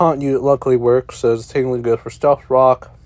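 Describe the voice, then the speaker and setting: Flat, monotone delivery from a man with a dark, mellow tone at medium pitch. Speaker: gaming YouTuber, draft league coach. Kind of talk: game commentary.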